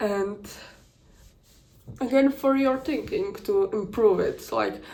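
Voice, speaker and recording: Speaking with a non-native accent, a woman has a dark, mellow tone, heard with audible room echo. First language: not English. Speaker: content creator. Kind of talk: casual vlog commentary. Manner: halting, many restarts and fillers.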